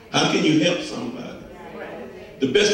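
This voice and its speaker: Over light background noise and strong room echo, the speaker talks at a fairly quick pace in an animated tone. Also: man. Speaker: preacher. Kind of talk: sermon. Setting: church. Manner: animated, emphatic call-and-response preaching with repetitions and stumbles. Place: church.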